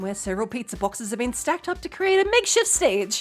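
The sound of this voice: An unforced reading voice comes through here.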